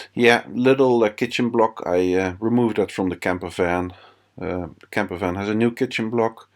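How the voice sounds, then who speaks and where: A non-native accent at a moderate pace, with fairly even intonation and big swings in loudness, in a very clean recording against a silent background. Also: man, fairly low pitch for a man. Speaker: home renovator. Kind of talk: casual talk to camera. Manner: unscripted, hesitant.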